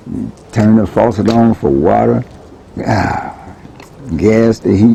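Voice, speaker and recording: The speaker talks very slowly in a Southern US accent, with ordinary pitch variation and noticeable background noise. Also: man, fairly low pitch for a man. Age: 60s. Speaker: neighborhood resident interviewed. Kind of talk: oral history interview. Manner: halting, many repeated words.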